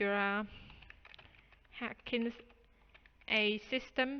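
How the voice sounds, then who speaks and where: At a very slow pace, a woman with a fairly high pitch and a non-native accent speaks in a flat monotone. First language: not English. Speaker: programming tutorial youtuber. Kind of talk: tutorial.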